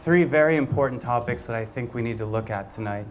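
Here a man talks with ordinary pitch variation. There is light background noise. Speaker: candidate. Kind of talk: campaign speech. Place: bar. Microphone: handheld.

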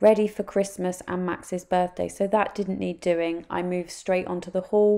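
A woman with a dark, mellow tone and vocal fry speaks at fairly low pitch and a moderate pace, her pitch moving little.

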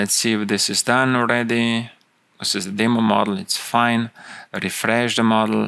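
The voice moves at a slow pace, bright and sharp in tone with vocal fry. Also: man.

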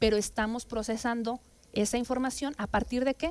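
A woman speaks at a fairly quick pace. Her intonation is fairly even. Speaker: council guest. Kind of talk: interview answer. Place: studio. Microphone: headset.

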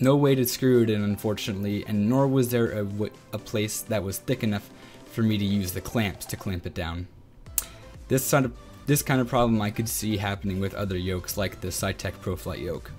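The speaker goes at a fairly quick pace with ordinary pitch variation. Faint music sits in the background. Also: man, fairly low pitch for a man. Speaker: flight simulator reviewer. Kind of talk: product review narration. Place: home room. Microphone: studio mic.

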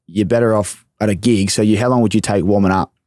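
A man with an Australian accent, a fairly low pitch and a very fast pace, in a dry sound with no echo over a quiet background. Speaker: podcast host. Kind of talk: casual interview. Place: studio. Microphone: studio mic.

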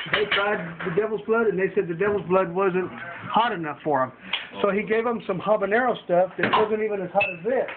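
A man talks at a fairly quick pace with ordinary pitch variation. Loud background noise fills the clip. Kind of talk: casual vlog chat. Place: kitchen. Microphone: webcam.

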